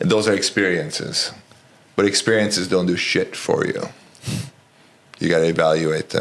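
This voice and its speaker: A man with a very deep, low pitch and a Romanian accent speaks at a moderate pace with ordinary pitch variation. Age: 40s. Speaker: college basketball coach. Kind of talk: podcast interview. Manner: direct, to the point.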